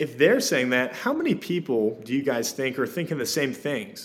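Here a man with a plain, everyday voice speaks at a medium pitch and a moderate pace. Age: 20s. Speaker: real estate agent. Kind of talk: podcast interview.

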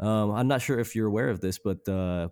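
A man with a plain, everyday voice and fairly low pitch is heard in a very clean recording with a silent background. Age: 30s. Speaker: punk music podcast host. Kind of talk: casual chat.

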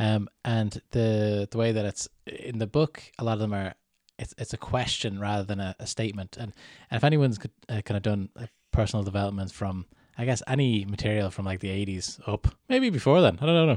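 Here a man talks at a fairly quick pace and fairly low pitch, with ordinary pitch variation and a plain, everyday voice. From Canada. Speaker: podcast host. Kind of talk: casual podcast chat. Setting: remote call.

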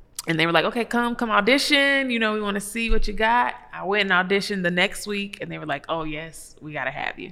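A woman's very fast speech with hardly any pauses, lively intonation and big swings in loudness, over noticeable background noise. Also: medium pitch for a woman. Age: 40s. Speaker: background vocalist and vocal producer. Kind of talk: interview. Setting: studio.

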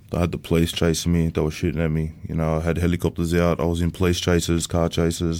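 A man with an Australian accent speaks at a very fast pace with hardly any pauses, his pitch very deep and low, his intonation monotone and flat, and his loudness very even. The recording is very clean with a silent background. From Sydney, Australia (Bankstown). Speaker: former prisoner. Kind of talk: interview testimony.

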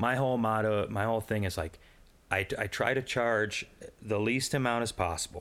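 With an unremarkable speaking voice, a man talks at a moderate pace and medium pitch, his loudness very even and his intonation fairly even, on a very clean recording with a silent background. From Quad Cities, US Midwest. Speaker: artist and musician. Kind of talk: casual interview chat.

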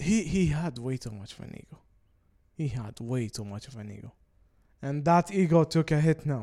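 Speaking in an Arabic accent at a moderate pace, the voice has a dark, mellow tone, lively intonation, big swings in loudness, and long, frequent pauses. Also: man, fairly high pitch for a man. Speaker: podcast co-host. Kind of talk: casual chat.

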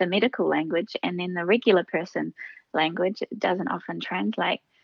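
A woman with a New Zealand accent, medium pitch and ordinary pitch variation. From New Zealand, Oamaru. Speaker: speaker and trainer. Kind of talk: interview. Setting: phone call.

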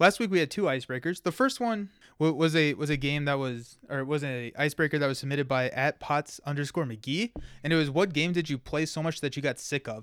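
Very fast American-accented speech from a man, fairly high in pitch with ordinary pitch variation, on a very clean recording with a silent background. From Kentucky, US. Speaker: podcast co-host. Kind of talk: casual chat.

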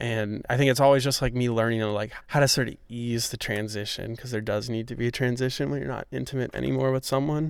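Speaking at a fairly quick pace with fairly even intonation, a man with an American accent uses a medium pitch in an unremarkable speaking voice. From New York City. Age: 20s. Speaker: podcast host. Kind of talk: casual interview chat. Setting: outdoors in a park.

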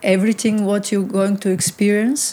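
Speaking in a Bulgarian accent, a woman uses a medium pitch and fairly even intonation. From Bulgaria (Varna). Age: 40s. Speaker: photographer. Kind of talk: interview. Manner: halting, many fillers.

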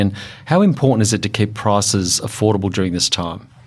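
Very fast and in a fairly low pitch, a man with an Australian accent talks with ordinary pitch variation over noticeable background noise. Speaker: podcast host, industry association head. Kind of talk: interview.

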